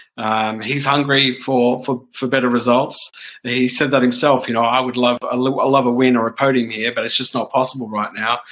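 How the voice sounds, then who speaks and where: A man talks with an Australian accent at a medium pitch. His intonation stays monotone and flat. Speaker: motorsport journalist. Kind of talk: casual chat.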